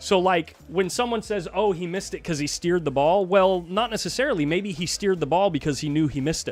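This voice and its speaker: A loud, high-pitched man's voice at a very fast pace, with ordinary pitch variation. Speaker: pool commentator. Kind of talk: live commentary. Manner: animated.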